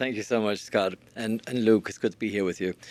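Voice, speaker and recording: The speaker is a man with an Irish accent and a fairly low pitch. His recording is very clean, with a silent background. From Ireland. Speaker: learning scientist. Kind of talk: podcast interview. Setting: live stream.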